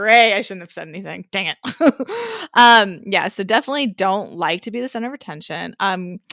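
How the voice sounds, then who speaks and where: A woman talks loudly at a fairly quick pace, her tone animated, bright and sharp. The sound is dry and close, with no echo. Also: medium pitch for a woman, ordinary pitch variation. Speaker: podcast co-host. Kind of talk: casual chat.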